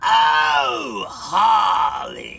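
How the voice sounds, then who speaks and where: A man does a gravelly put-on character voice over faint music in the background. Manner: big, theatrical.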